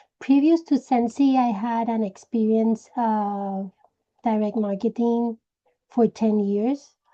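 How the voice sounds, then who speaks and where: A woman with a Puerto Rican accent, a dark, mellow tone, fairly high pitch and a fairly slow pace. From Puerto Rico. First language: Spanish. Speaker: direct sales team leader. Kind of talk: personal story talk to sales team. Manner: hesitant, with many fillers.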